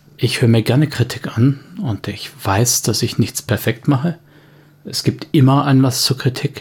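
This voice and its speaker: A man talks at a fairly slow pace, his voice somewhat breathy. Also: medium pitch for a man, ordinary pitch variation. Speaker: podcast host. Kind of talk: angry rant, unscripted monologue aimed at trolls. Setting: home recording, uncut. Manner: irate, sarcastic, clipped and fed up; firm, emphatic, then curt at the end.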